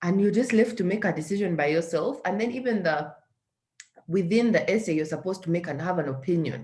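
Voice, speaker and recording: A woman speaks at medium pitch, sounding somewhat breathy. Her pitch swings very widely. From Uganda. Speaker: social entrepreneur. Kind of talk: interview.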